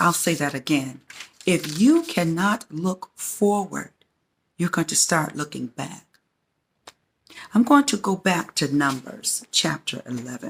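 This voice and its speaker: Breathing somewhat breathily, a woman with a fairly low pitch speaks at a fairly slow pace, her pitch swinging very widely between long, frequent pauses. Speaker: faith-based teacher hosting her own channel. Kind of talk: sermon-style teaching to camera.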